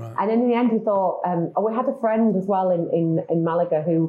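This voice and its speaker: A woman speaks with a British accent. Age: 50s. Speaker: marketing agency founder. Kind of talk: interview conversation.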